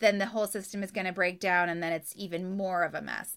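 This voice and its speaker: A woman speaks in a Californian accent. Her tone is bright and sharp. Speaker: professional organizer. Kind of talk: interview. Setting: video call.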